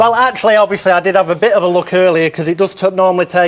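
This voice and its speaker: Speaking at a very fast pace with a northern English accent, a man uses a high pitch and ordinary pitch variation against noticeable background noise. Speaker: psychic. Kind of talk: TV chat show segment.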